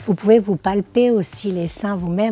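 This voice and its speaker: Her voice has a dark, mellow tone, and the woman moves at a moderate pace while her pitch varies in an ordinary way. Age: 60s. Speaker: social media influencer and model. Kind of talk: awareness testimony to camera. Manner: hesitant, many fillers.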